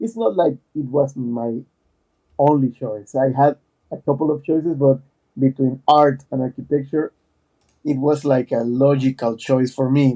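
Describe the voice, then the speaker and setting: A man with a dark, mellow tone speaks at a moderate pace and medium pitch, his fairly even intonation broken by long, frequent pauses, in a dry, close sound with no echo. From Panama. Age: 40s. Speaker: architect and digital artist. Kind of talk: podcast interview. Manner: halting, many fillers and repetitions.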